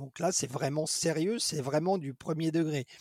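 On a very clean recording with a silent background and a dry, close sound free of echo, a man speaks at a fairly high pitch with ordinary pitch variation. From France, Dijon. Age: 50s. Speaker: special effects artisan. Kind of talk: interview. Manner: hesitant with frequent repetitions.

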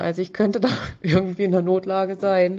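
This woman's voice has a dark, mellow tone and a medium pitch. She keeps a moderate pace. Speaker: listener sending a voice message. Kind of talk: voice message testimony. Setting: voice message.

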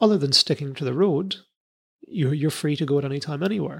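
The speaker has a British accent and a somewhat breathy voice. The pace is fairly quick, with ordinary pitch variation. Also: man. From UK. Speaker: comedy science podcast host. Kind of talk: casual chat. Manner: animated.

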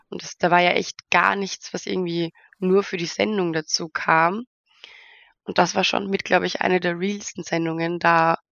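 Here is an ordinary speaking voice from a woman with a fairly low pitch. She speaks at a moderate pace with fairly even intonation. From Austria, near Vienna. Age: 20s. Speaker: model and reality TV participant. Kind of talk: interview.

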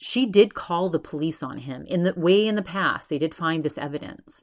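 Using a plain, everyday voice, a woman with an American accent speaks at a moderate pace in a fairly low pitch with lively intonation, on a very clean recording with a silent background. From Massachusetts. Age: 40s. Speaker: podcast host. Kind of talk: casual solo monologue. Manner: frequent fillers and repetitions.

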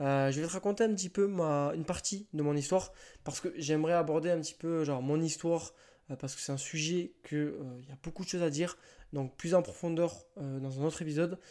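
Very cleanly recorded against a silent background, a man with a fairly high pitch and a dark, mellow tone talks fairly quickly with fairly even intonation. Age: 20s. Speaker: online fitness coach and podcast host. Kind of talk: solo podcast monologue. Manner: casual, with frequent hesitations. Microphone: new microphone, first use.

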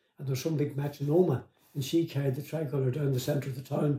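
Somewhat breathy and with a dark, mellow tone, a man speaks very fast at a fairly high pitch, his intonation fairly even. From Northern Ireland, Omagh, County Tyrone. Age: 80s+. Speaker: former IRA prisoner and author. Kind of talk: interview storytelling. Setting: in-person interview.

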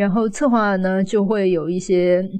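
A woman is speaking. Her pace is very slow. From Chengdu, China. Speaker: guest who studied abroad in the US.

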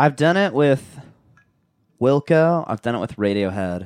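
A man's pitch swings very widely, and the sound is dry and close with no echo. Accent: Californian. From Southern California, Orange County. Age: 20s. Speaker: podcast host. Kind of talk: casual chat. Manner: animated.

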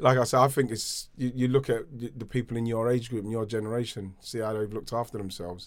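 Speaking very fast with hardly any pauses, a man keeps his intonation fairly even. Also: medium pitch for a man. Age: 50s. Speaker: podcast co-host, former footballer. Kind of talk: casual chat.

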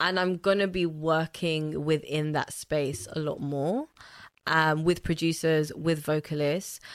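A woman's very deep, low voice with a London accent, fairly slow and fairly even in intonation, on a very clean recording with a silent background. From Zambia (Lusaka) and London. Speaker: DJ and multidisciplinary artist. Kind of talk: casual interview chat.

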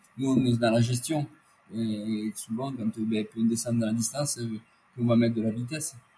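Noticeable background noise sits behind this man's voice. His pitch is medium and his intonation fairly even. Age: 50s. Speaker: ultra-endurance athlete. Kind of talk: interview.

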